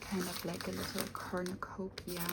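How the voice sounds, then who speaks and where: A soft-spoken voice moves fairly slowly while noticeable noise runs in the background. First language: not English. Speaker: unboxing video creator. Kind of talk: product unboxing. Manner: halting, many fillers.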